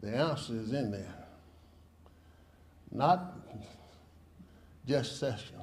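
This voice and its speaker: A man speaks at a very slow pace with long, frequent pauses and lively intonation. His voice is somewhat breathy, and the room echo is audible. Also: medium pitch for a man. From US South, Mississippi. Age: 80s+. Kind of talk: protest speech. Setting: press conference.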